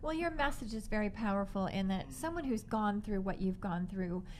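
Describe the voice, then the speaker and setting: A woman's unremarkable speaking voice at a medium pitch, with ordinary pitch variation. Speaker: radio talk show host. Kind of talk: radio interview hosting. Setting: studio.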